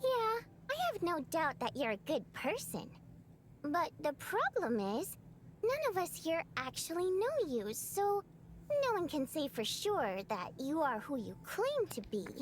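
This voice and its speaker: In a put-on character voice, someone talks at a high pitch and a fairly slow pace over clear background noise. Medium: video game. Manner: wry, casual.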